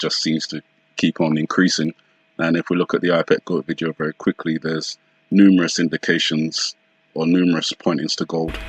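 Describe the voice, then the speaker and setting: In a very deep, low voice, a man talks at a fairly quick pace with monotone, flat intonation and a dry, close sound with no echo. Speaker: conspiracy video commentator. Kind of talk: solo video commentary. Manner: fast; hesitant, many fillers.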